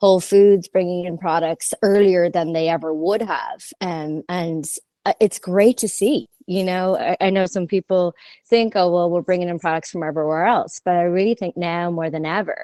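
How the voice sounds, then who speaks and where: At a moderate pace, a woman with a fairly low, dark, mellow voice speaks with fairly even intonation in a dry, close sound with no echo. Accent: Irish. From Ireland. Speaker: merchandising company founder. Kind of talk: podcast interview.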